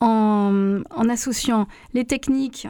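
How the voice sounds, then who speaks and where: A woman's fairly high voice. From Marseille, France. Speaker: documentary maker and food author. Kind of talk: radio interview.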